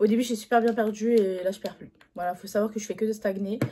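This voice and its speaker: The speaker is a woman. Her intonation is monotone and flat. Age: 20s. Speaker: YouTuber. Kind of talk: casual talk to camera.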